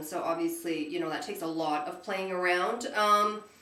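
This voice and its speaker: Amid audible room echo and noticeable background noise, a woman speaks in an animated tone with very wide pitch swings. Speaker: beauty vlogger. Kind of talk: casual chat. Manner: halting.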